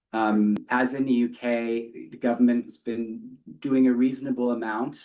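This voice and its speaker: A man with a British accent, a medium pitch, fairly even intonation and a dark, mellow tone. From UK. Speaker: company executive. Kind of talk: earnings call remarks.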